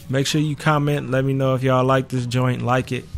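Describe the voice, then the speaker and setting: A man's voice sits at a medium pitch. Behind him, music is playing. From US Midwest, Cleveland, Ohio. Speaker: gaming youtuber. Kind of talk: let's play commentary. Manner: casual.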